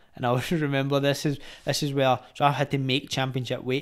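A man speaks very fast in a Glaswegian accent. His intonation is monotone and flat, with a quiet background. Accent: Glaswegian Scottish. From Glasgow, Scotland (Gorbals); Glasgow. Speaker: retired professional boxer; podcast guest. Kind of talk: casual chat. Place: home room. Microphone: studio mic.

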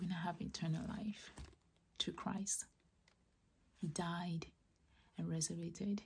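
A soft-spoken, somewhat breathy whisper at a fairly slow pace, with long, frequent pauses, very even loudness and light background noise. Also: woman. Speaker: ASMR creator. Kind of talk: whispered personal testimony about faith. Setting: close-mic, ASMR style. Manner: whispered, soft, slow. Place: home room.

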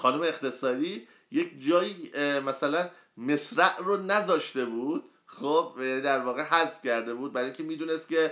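Against a quiet background, a man talks at a moderate pace with a bright, sharp tone and lively intonation. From Iran, Karaj; Iran. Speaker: poet and book reviewer; poet, book reviewer. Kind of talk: book review livestream. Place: home room. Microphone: phone near.

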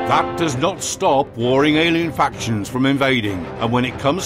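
Over clear background music, a man with a fairly high pitch talks at a fairly slow pace, his pitch swinging very widely. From British. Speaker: voice actor. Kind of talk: game trailer narration.

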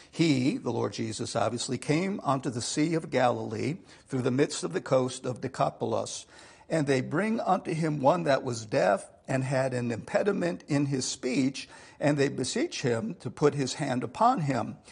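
A man at a moderate pace, with vocal fry. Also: quiet background. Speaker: pastor. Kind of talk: sermon. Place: church. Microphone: lapel.

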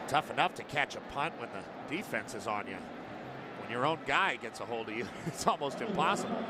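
A man talks at a fairly high pitch with very wide pitch swings. Noticeable background noise sits behind him. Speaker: color analyst. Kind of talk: live sports commentary, analysis. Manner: explanatory, conversational, energetic.

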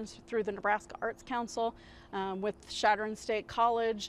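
Light background noise runs under the recording. A woman talks over it at a moderate pace. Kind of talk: interview answer. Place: street. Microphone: lapel.

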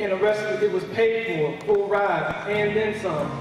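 Amid strong room echo and clear music in the background, a man talks at a high pitch and a fairly slow pace. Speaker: church speaker giving a testimony. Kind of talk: religious testimony, spoken in church. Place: church.

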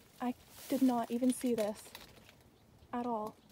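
High female voice at a moderate pace, with music in the background and a dry sound with no echo. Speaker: urban explorer vlogger. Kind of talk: casual vlog chat. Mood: amazed, excited. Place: open country. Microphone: phone near.

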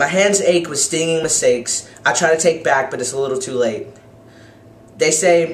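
A man at a moderate pace, with audible room echo. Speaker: poet; university student. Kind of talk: poetry reading. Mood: wistful, emotional. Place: home room. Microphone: webcam.

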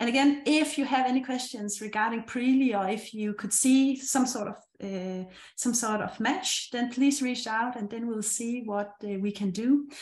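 A woman with a Danish accent speaks at a moderate pace in a fairly high pitch with ordinary pitch variation, and the room adds an audible echo. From Denmark. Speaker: meetup host. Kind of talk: event hosting. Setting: video call. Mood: friendly, upbeat. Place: home room. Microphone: webcam.

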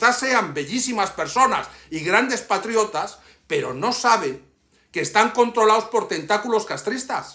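Projecting a raised voice at a fairly slow pace, a man speaks with an extremely high pitch and a bright, sharp tone over a quiet background. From Cuba, Havana; Cuba. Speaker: YouTuber and political activist; YouTuber. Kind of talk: personal video message. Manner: impassioned. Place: home room. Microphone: phone near.

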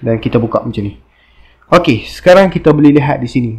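A man talks at a very fast pace in a fairly high voice. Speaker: motorbike parts seller. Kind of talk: product review tutorial. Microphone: phone near.

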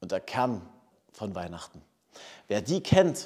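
Against a quiet background, a man talks at a very slow pace with very wide pitch swings. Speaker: pastor. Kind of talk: scripture reading and sermon. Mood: warm, lightly humorous. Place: church.

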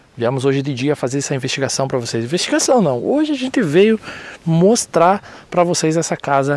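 With a dry sound and no echo, a man talks at a fairly quick pace, his pitch swinging very widely. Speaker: paranormal channel host. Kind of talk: casual vlog intro narration. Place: forest.

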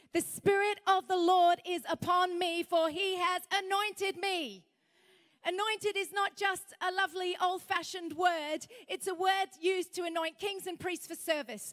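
A woman with an extremely high-pitched voice talks at a moderate pace with fairly even intonation against a quiet background. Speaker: speaker. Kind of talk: sermon. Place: hall. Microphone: handheld.

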